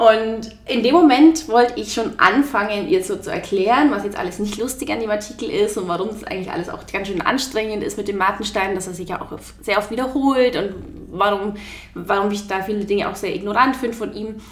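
Ordinary pitch variation and big swings in loudness, amid noticeable background noise and audible room echo. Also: woman, fairly high pitch for a woman, fairly quick pace. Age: 20s. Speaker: journalist and author. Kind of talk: interview.

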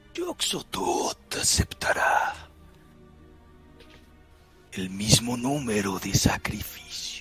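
Whispering in a put-on character voice, a man speaks very slowly with long, frequent pauses while clear music plays in the background. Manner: ominous.

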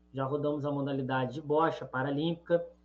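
The voice belongs to a man. His intonation is fairly even. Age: 30s. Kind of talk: radio interview.

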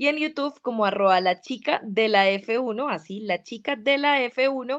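Against a quiet background, a woman talks with lively intonation at a fairly high pitch. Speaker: sports journalist and Formula 1 content creator. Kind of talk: casual interview.

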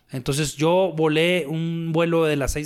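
Speech from a man, very clean, against total silence. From Torreón, Coahuila, northern Mexico. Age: 40s. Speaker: retired bullfighter and businessman. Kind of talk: casual interview. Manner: halting, many fillers.

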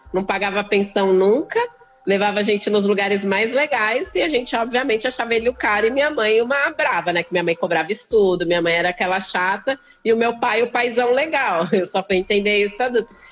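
Noticeable background noise fills the recording. Over it, a woman speaks at a fairly quick pace. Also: fairly high pitch for a woman, ordinary pitch variation. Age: 30s. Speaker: poet and activist. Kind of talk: casual interview.

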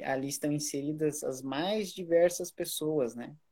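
At a fairly slow pace, a man with a fairly high pitch uses an ordinary speaking voice. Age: 30s. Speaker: teacher and musician. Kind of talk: casual chat.

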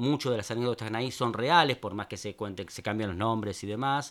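A man speaks at a medium pitch. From Buenos Aires, Argentina (Palermo Viejo). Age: 50s. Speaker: writer and poet. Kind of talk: interview.

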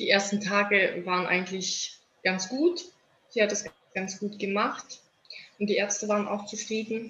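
Speaking at a moderate pace, a woman holds a medium pitch in a monotone with flat intonation. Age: 30s. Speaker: mother of premature babies. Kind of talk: interview. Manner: halting, many filler words.

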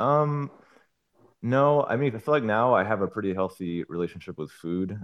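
This man talks at a moderate pace in a fairly low pitch, with an unremarkable speaking voice. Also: lively intonation. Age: 30s. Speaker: YouTuber sharing his diet experience. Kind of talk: casual interview.

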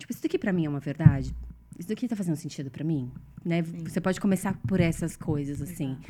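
A woman talks at a very fast pace in a fairly low pitch. Her loudness swings widely. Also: ordinary pitch variation. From Brazil. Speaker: consciousness facilitator. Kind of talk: casual chat.

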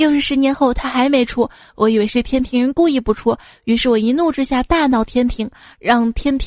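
Fairly quick speech from a woman with a high voice. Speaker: podcast host. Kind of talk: comedic joke reading. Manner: animated.

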